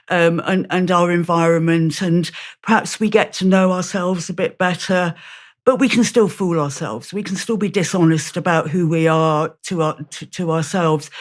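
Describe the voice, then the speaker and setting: A woman speaks with a British accent at a fairly low pitch, on a very clean recording with a silent background. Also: fairly even intonation, moderate pace. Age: 60s. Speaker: author and campaign group founder. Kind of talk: interview conversation. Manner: halting, many repetitions.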